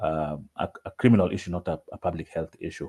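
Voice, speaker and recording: In a dry, close recording with no echo, a man talks with a dark, mellow tone and a very deep, low pitch. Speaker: mental health advocate. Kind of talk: online presentation. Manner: halting, many repetitions; quiet.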